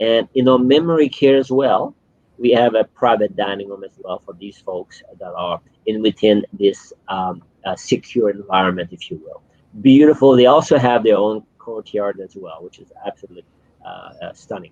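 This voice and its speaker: Someone with a Quebec accent speaks at a moderate pace with ordinary pitch variation and big swings in loudness, in a dry, close sound with no echo. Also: man. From Quebec City, Canada. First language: French. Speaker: senior living general manager. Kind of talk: interview. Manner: halting, many fillers.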